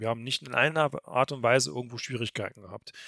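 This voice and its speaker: At a fairly quick pace, a man uses an ordinary speaking voice at medium pitch, recorded very cleanly against a silent background with a dry, close sound and no echo. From Thuringia, Germany. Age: 40s. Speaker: event organizer. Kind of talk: podcast interview.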